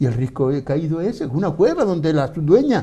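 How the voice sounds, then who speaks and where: Somewhat breathy and dark, mellow in tone, a man with a Canarian accent speaks with very wide pitch swings. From Canary Islands (Gran Canaria). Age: 70s. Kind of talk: debate interview. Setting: TV studio. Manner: animated.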